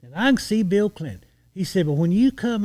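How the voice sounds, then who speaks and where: A man with a Texan accent and a dark, mellow tone speaks with lively intonation, the sound dry and close with no echo on a very clean recording with a silent background. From Texas, border region (Eagle Pass). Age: 60s. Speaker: retired lawman. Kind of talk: storytelling in casual podcast interview.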